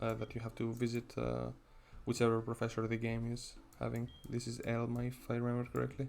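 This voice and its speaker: A man talks fairly quickly with a non-native accent. His intonation stays monotone and flat. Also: medium pitch for a man. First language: not English. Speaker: gaming YouTuber. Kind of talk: gameplay commentary. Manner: casual, halting with fillers.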